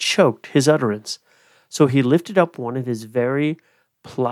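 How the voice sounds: Heard against a quiet background, this is a natural reading voice.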